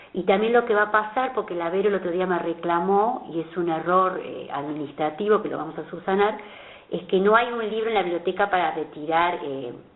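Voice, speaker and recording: A woman speaks at a fairly quick pace, her pitch medium with ordinary variation. Background noise is noticeable. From Argentina, Buenos Aires. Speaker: author. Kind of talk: interview.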